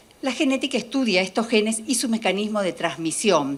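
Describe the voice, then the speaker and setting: A woman talks with lively intonation. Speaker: molecular biologist. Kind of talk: lecture. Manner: fast.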